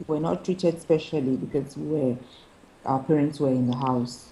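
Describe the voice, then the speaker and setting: A woman's somewhat breathy voice with fairly even intonation. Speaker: lawyer and poet. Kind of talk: interview answer.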